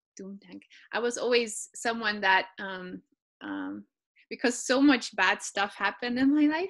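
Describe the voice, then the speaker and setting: Fairly slow speech from a woman at fairly high pitch with ordinary pitch variation, in a very clean recording with a silent background. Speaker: guest. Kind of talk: interview. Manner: halting.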